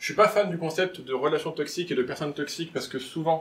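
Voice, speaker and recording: Here a man speaks at a fairly quick pace. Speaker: clinical psychologist, lecturer. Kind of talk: lecture. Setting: conference room with live audience. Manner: fast; not clearly articulated.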